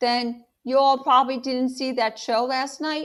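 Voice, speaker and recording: A female-sounding, put-on character voice talks at a moderate pace in a high pitch for a woman. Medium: read story. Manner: relaxed, neighborly.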